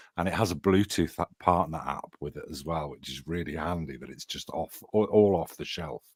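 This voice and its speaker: Vocal fry at a moderate pace, with ordinary pitch variation, big swings in loudness, hardly any pauses and a dry, close sound with no echo. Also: man, very deep, low pitch for a man. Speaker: AI and paranormal tech hobbyist. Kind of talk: casual group chat.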